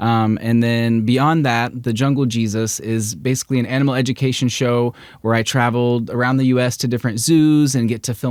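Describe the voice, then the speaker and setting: A man talks fairly quickly at a medium pitch, his intonation fairly even. The recording is very clean, with a silent background. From Missouri, Springfield area. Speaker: animal educator and social media creator. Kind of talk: casual interview chat.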